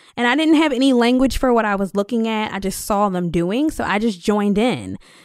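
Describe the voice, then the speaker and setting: A woman talks at a fairly quick pace with lively intonation. She has a Philadelphia accent. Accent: Philadelphia American. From US, Philadelphia (Germantown). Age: 30s. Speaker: urban farmer and business owner. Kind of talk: interview. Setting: recording studio.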